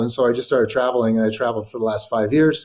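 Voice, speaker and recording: A man with a Californian accent, over a quiet background. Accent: General American (Californian). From California, Sacramento. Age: 60s. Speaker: writer and journalist. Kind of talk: interview. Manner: halting, many fillers and repetitions.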